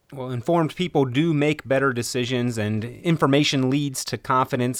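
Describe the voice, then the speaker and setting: A man with an unremarkable speaking voice talks at a moderate pace, his medium pitch showing ordinary variation. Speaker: radio host. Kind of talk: scripted radio show host segment. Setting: radio studio.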